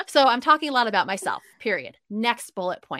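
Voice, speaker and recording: A woman's plain, everyday voice at a fairly high pitch and fairly quick pace, with lively intonation and a dry, close sound with no echo on a very clean recording with a silent background. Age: 30s. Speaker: happiness mentor and podcast host. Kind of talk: casual interview chat.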